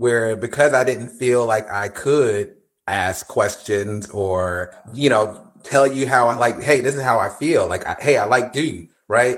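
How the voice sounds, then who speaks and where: A man's unremarkable speaking voice in an American accent, medium in pitch with ordinary pitch variation, at a fairly slow pace on a very clean recording with a silent background. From New Jersey. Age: 50s. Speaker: podcast guest. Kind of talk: casual chat.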